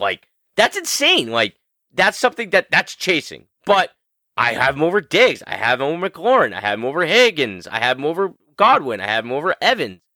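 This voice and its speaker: A man uses a fairly high pitch with very wide pitch swings, vocal fry and a bright, sharp tone. His delivery is playful, and the sound is dry and close with no echo. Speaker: fantasy football podcast host. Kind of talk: casual banter, fantasy football talk. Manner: gut-driven, playful banter.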